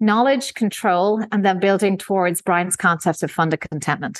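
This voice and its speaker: The background is quiet. A woman speaks at a medium pitch and a moderate pace. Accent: Irish. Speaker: investment executive. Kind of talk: interview.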